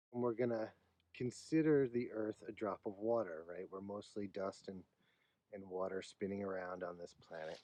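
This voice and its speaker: Speaking at a moderate pace, a man uses a plain, everyday voice that sits fairly low, with ordinary pitch variation. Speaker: painting teacher. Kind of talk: art class lecture.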